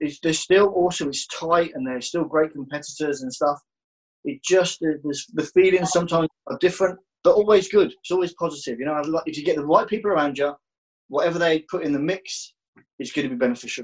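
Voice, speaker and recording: A man talks at a fairly quick pace with a fairly high pitch and ordinary pitch variation. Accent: Birmingham. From Birmingham, England. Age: 40s. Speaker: jiu-jitsu instructor and gym owner. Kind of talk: interview, life story.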